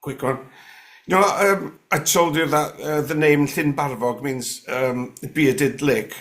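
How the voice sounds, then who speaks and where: A man talks at a fairly slow pace in a North Welsh accent. His pitch varies in an ordinary way. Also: fairly high pitch for a man. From North West Wales (Gwynedd). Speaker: guest sharing paranormal stories. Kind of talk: casual interview chat. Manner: hesitant, many fillers and restarts.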